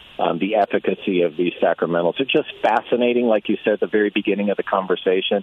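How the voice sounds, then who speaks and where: A man talks in a plain, everyday voice at a fairly low pitch, with ordinary pitch variation. He leaves hardly any pauses. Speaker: author, convert to Catholicism. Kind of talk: radio interview, conversational. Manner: casual, friendly.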